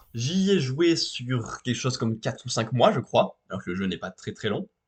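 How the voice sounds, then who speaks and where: Somewhat breathy and medium in pitch, a man speaks at a moderate pace with very wide pitch swings. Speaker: video game streamer. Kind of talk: casual chat.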